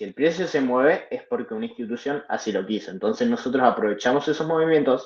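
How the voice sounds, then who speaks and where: The pace of this man's speech is fairly quick. Ordinary pitch variation marks his delivery. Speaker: trading instructor. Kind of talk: live online class. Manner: fast.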